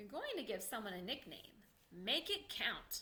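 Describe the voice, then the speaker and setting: Putting on a character voice, a woman speaks at a moderate pace and a fairly high pitch, with big swings in loudness. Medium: read story. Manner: jokey, theatrical.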